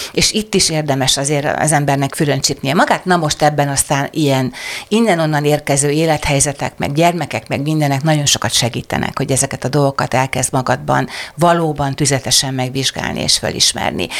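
A woman speaks at a fairly quick pace with a very deep, low pitch, ordinary pitch variation and very even loudness. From southern Hungary, Szeged area. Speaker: writer and screenwriter. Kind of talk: interview conversation.

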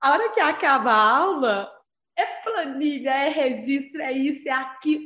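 At a very slow pace, a woman speaks in a high-pitched voice. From Barbacena, Minas Gerais. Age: 40s. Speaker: schoolteacher. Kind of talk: casual group chat.

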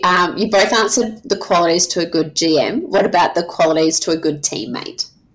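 Through noticeable background noise, a woman with an Australian accent speaks at a medium pitch with ordinary pitch variation and hardly any pauses. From South Australia. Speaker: podcast host. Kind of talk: casual chat.

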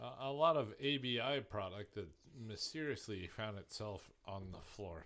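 A man with an American accent speaks in a plain, everyday voice, fairly slow and fairly low in pitch, with lively intonation. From Indiana. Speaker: beer sales worker. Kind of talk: casual chat.

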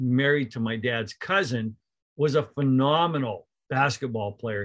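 With a Canadian Prairies accent, a man talks at a moderate pace and medium pitch, his pitch varying in an ordinary way. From Canada, rural Manitoba near Winnipeg. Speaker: college basketball coach. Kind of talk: casual interview.

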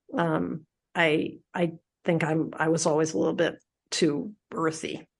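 Vocal fry runs through the speech, delivered in an American accent. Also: woman, quiet background. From Philadelphia, US. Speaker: public radio host. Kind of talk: interview.

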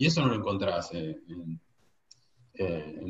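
A man speaks in a somewhat breathy voice. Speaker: sports journalist. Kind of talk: casual chat.

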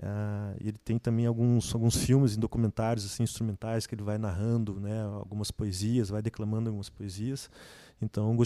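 A man's dark, mellow voice comes through dry and close, with no echo. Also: very clean recording, silent background. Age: 30s. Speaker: student and musician. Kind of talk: casual chat.

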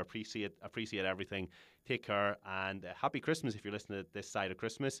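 A man talks at a very fast pace with an Irish accent and a bright, sharp tone. The recording is very clean, with a silent background. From Ireland. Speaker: podcast host, health coach. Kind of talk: casual interview; podcast outro. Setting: studio.

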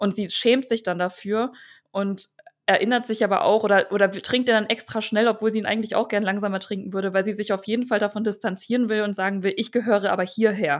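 Using fairly even intonation, a woman talks at a very fast pace with a medium pitch. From Italy (Verona) and Germany (Dresden). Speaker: author. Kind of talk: casual interview.

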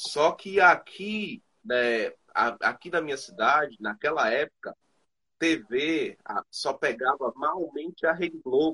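A man with a fairly high pitch and a bright, sharp tone speaks at a very slow pace with lively intonation. The sound is dry and close, with no echo. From Bahia, Brazil. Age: 20s. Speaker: rapper. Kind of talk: interview. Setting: remote call.

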